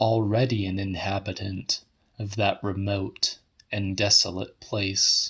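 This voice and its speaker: A fairly low male voice at a very slow pace, very cleanly recorded over a silent background. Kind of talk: audiobook reading of a horror short story.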